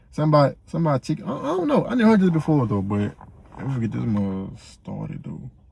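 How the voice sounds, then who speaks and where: A man speaks quietly at a very fast pace. His fairly high voice swings very widely in pitch. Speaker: reaction video creator. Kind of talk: casual reaction commentary. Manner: quiet, low-key; laid back, not loud.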